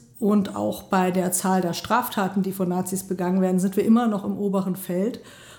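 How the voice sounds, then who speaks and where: A woman's somewhat breathy, dark and mellow voice at medium pitch, flat and monotone, at a moderate pace. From Germany, Mainz (Rhineland-Palatinate). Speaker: member of parliament. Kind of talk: interview. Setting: sitting across from interviewer in a venue.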